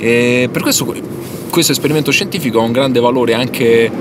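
A man speaks over noticeable background noise. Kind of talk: interview answer. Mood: wry, mock-scientific humor. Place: car.

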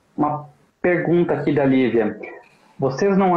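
A man talks with ordinary pitch variation. Audible room echo comes through over a quiet background. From Brazil, Santa Catarina (Joinville); Santa Catarina, Brazil. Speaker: political movement spokesman, live show host. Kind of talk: casual live-stream interview. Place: home room. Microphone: video call.

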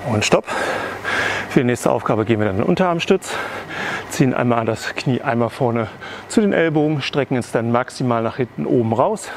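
Light background noise sits under a man speaking at a fairly quick pace. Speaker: fitness trainer. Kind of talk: workout instruction. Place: hall.

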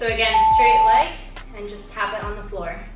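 A woman talks at a moderate pace with audible room echo. Clear music plays in the background. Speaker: fitness instructor. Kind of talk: workout instructions. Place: home room.

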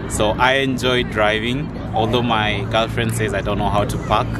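A man speaks at a moderate pace, the sound dry with no echo but with loud background noise. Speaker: vlogger. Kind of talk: casual vlog chat. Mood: cheerful and laughing. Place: garden. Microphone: phone near.

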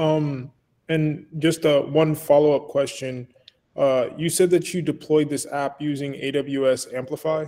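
Speaking fairly slowly, a man with a fairly high pitch and a dark, mellow tone keeps a monotone, flat intonation. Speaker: meetup attendee; audience member. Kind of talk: Q&A; casual Q&A question. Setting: video call. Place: office. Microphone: webcam.

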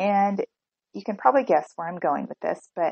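Recorded with a dry, close sound and no echo, a woman speaks with vocal fry, a slightly mellow tone and ordinary pitch variation.

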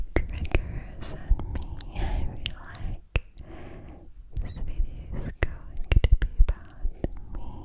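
A woman whispers at a very slow pace. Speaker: ASMR creator. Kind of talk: soft ASMR whispering chat. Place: home room. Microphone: studio mic.

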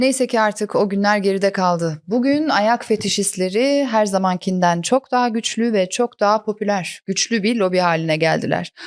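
A woman with a normal speaking voice talks at a moderate pace at medium pitch, with ordinary pitch variation, on a very clean recording with a silent background. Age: 40s. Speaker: comedian. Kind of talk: casual chat; scripted narration.

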